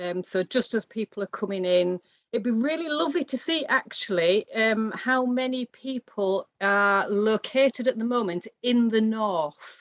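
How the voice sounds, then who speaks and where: Speaking at a fairly slow pace with hardly any pauses, a woman uses a normal speaking voice, fairly high in pitch, with lively intonation. The sound is dry and close, with no echo. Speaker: academic event chair. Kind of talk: online panel moderation.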